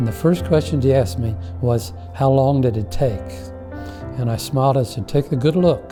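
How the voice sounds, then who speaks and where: A man talks at a moderate pace and medium pitch with lively intonation. He leaves long, frequent pauses, with music in the background. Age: 80s+. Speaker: retired minister. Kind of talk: interview answer.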